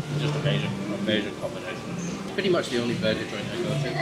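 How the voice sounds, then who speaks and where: A man's voice over loud background music. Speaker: food reviewer. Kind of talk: casual vlog chat. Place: cafe. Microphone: phone near.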